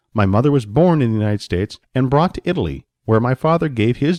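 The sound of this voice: With a quiet background behind it, the unforced reading voice moves through lively intonation.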